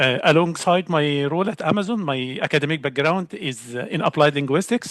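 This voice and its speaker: A man with an Arabic accent at a fairly quick pace, the sound dry and close with no echo. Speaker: learning specialist, applied linguist. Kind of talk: panel discussion on a webinar. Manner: hesitant with filler and false starts.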